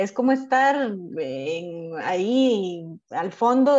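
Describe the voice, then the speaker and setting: Lively intonation from a woman with a fairly high pitch. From Costa Rica. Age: 30s. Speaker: podcast host. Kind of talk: casual chat.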